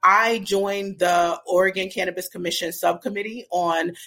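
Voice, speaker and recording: This is a normal speaking voice with an American accent. It moves at a moderate pace with fairly even intonation. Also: woman. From Brooklyn, New York. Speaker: cannabis business strategist. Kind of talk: interview.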